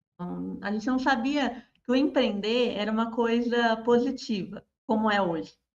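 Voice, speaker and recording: A woman speaks at a moderate pace in a fairly high voice with ordinary pitch variation. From Paraná, Brazil (small town). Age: 30s. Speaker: social media marketer. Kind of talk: interview.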